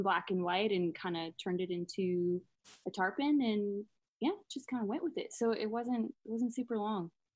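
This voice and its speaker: A woman's plain, everyday voice at medium pitch and moderate pace, with ordinary pitch variation. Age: 20s. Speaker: painter. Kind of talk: casual interview chat.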